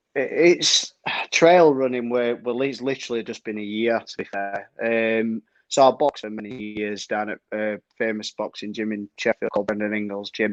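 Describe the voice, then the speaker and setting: A man's medium-pitched voice with a Yorkshire accent, ordinary pitch variation, a moderate pace and a dry, close sound with no echo. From Yorkshire, northern England. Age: 30s. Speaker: trail runner. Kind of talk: casual chat.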